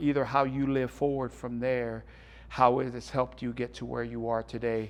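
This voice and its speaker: With a Tongan accent, a man talks at a moderate pace in fairly even intonation against a quiet background. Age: 40s. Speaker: radio host and coach. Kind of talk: interview.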